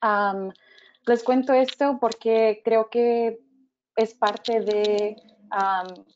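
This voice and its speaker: A woman's fairly high voice, very slow and monotone, with long, frequent pauses and very even loudness throughout. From Mexico-born, raised in the US. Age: 30s. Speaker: religious education director. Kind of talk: personal testimony. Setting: webinar. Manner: hesitant with many fillers.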